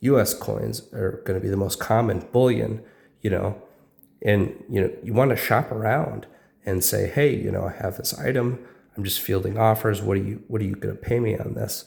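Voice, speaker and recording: Fairly low in pitch with vocal fry, a man speaks at a moderate pace with fairly even intonation. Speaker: coin dealer. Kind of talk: casual talk to camera.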